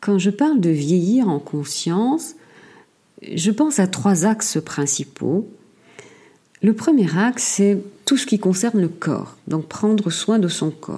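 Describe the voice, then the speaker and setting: Very slow and broken by long, frequent pauses, a woman's medium-pitched voice, somewhat breathy with a dark, mellow tone, swings very widely in pitch. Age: 60s. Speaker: podcaster. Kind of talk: solo monologue. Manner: halting, frequent repetitions.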